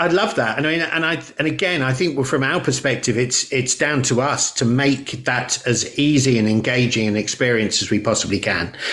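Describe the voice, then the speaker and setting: Speaking at a moderate pace with hardly any pauses, a man with a medium pitch keeps a very even loudness and ordinary pitch variation over noticeable background noise. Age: 60s. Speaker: podcast host. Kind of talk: interview conversation.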